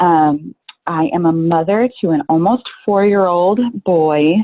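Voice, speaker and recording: This woman has a normal speaking voice with a fairly low pitch. Her intonation is lively. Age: 30s. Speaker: working mother. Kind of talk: casual chat.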